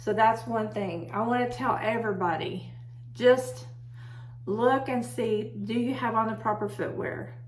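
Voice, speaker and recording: A loud woman's voice in an American accent, medium in pitch with very wide pitch swings, at a fairly slow pace, with audible room echo and noticeable background noise. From Texas. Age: 60s. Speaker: herbalist video host. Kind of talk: casual talk to camera. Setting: home office.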